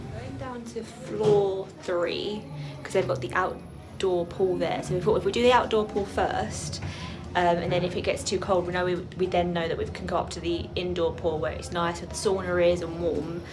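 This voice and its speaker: A woman with an English accent speaks at a fairly low pitch with ordinary pitch variation. Music plays in the background, and audible room echo is present. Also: moderate pace. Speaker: travel vlogger. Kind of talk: vlog narration. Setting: hotel spa.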